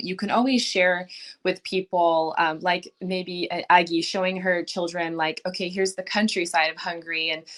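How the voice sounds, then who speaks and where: A woman with an American accent speaks in an ordinary speaking voice, fairly low in pitch, at a moderate pace. Her intonation is fairly even, on a very clean recording with a silent background. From United States. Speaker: podcast panel guest, parent. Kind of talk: casual panel discussion.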